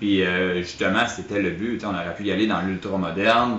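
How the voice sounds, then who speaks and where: A man with a Quebec accent speaks with fairly even intonation, with audible room echo and noticeable background noise. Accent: Québécois French. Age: 30s. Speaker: grocery store owner. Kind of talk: interview. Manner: halting.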